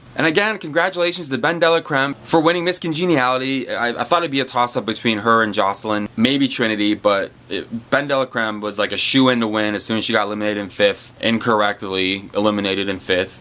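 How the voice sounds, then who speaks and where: Male voice at a very fast pace with hardly any pauses and lively intonation, over noticeable background noise. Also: medium pitch for a man. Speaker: YouTube reviewer. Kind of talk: casual video commentary. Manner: animated.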